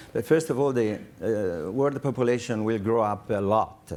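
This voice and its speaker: In an Italian accent, a man speaks at a moderate pace with medium pitch and ordinary pitch variation. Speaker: company representative presenting underwater farming project. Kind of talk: conference presentation. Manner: halting, with many fillers.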